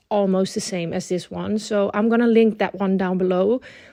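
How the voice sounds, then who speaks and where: Woman with a Dutch accent, dark, mellow tone, fairly even intonation, moderate pace, quiet background. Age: 20s. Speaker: planner YouTuber. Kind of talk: casual vlog tutorial.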